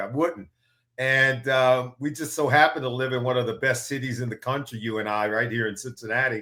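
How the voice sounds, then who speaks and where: A man with a medium-pitched, bright, sharp tone speaks at a moderate pace with fairly even intonation. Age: 60s. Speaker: football analyst, former NFL player. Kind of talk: casual interview.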